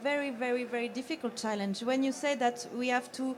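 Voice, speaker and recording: A woman's high voice with a French accent, fairly even in intonation and at a moderate pace, over noticeable background noise. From France. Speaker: audience member asking a question. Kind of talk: audience question. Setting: stage with audience.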